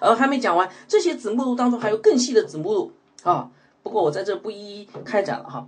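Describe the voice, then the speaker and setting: At a fairly quick pace, a man talks with an extremely high pitch. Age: 40s. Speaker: pastor. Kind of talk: sermon. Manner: many filler sounds.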